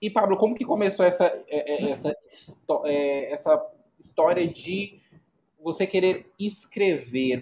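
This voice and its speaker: Fairly slow pace with lively intonation. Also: man. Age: 30s. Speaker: podcast host. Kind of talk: casual interview. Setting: live stream.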